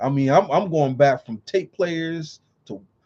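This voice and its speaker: The man's intonation is lively. His tone is dark and mellow, somewhat breathy. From California. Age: 40s. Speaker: vlogger. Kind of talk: casual monologue. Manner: casual, with frequent fillers.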